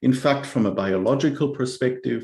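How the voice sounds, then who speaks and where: With a German accent, a man talks at a fairly quick pace in a fairly high, somewhat breathy voice with lively intonation. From Germany. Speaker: cultural anthropologist. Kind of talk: presentation with slides. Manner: halting, with repetitions and fillers.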